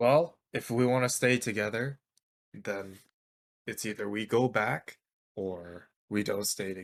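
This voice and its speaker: Using a put-on character voice, a man speaks raspy and fairly low at a moderate pace, with long, frequent pauses, on a very clean recording with a silent background. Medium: actual play. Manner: curt, sarcastic.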